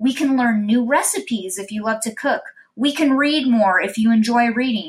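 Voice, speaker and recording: A woman speaks in a high pitch with an upbeat, warm tone. Her pace is fairly slow. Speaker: podcast host. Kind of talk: motivational pep talk. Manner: upbeat, encouraging, warm; earnest, steady and positive.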